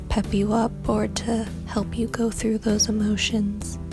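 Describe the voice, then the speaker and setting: A soft-spoken woman in a calm tone at a fairly slow pace, with music in the background. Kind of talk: calm self-care advice to camera, ASMR-style. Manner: soft-spoken, calm.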